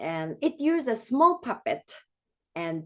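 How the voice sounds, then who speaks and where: With a Japanese accent, a woman speaks at a very slow pace and with lively intonation over a quiet background. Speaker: music and movement teacher. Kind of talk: presentation. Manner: halting.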